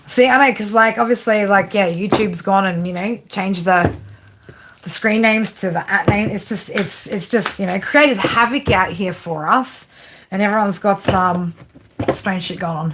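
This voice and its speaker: Over noticeable background noise, a woman with an Australian accent speaks with ordinary pitch variation. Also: medium pitch for a woman, moderate pace. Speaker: tarot reader. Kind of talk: live stream reading with chat. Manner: casual, filler-heavy.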